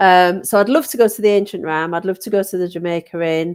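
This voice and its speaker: On a very clean recording with a silent background, a woman with a Yorkshire accent speaks at a moderate pace in a fairly low voice with ordinary pitch variation. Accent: northern English (Yorkshire). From Yorkshire, northern England. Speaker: paranormal investigator. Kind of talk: casual chat. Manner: animated.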